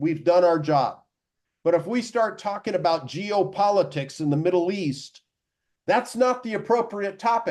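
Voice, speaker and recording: A man talks at a fairly slow pace. His pitch is high, with ordinary variation. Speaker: professional speaker and closer, media marketing expert. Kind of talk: podcast interview answer.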